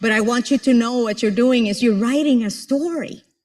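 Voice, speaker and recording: In a Spanish accent, the speaker sounds animated on a very clean recording with a silent background. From Puerto Rico. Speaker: motivational speaker and professor. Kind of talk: motivational speech.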